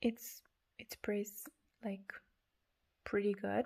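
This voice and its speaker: A woman with a non-native accent speaks at a fairly slow pace. Her medium-pitched voice stays monotone and flat. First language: not English. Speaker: perfume reviewer. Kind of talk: product review. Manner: halting.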